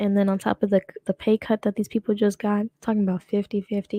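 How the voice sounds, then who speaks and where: A woman at a very fast pace, medium in pitch with a dark, mellow tone, in a dry, close sound with no echo. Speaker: streamer / commentary host. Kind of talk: casual live stream commentary. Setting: live stream. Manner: trips over words.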